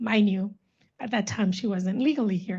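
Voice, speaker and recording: A moderate pace and ordinary pitch variation in a somewhat breathy voice. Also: woman. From Los Angeles, born in El Salvador. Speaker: panelist. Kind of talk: personal testimony. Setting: panel event with audience.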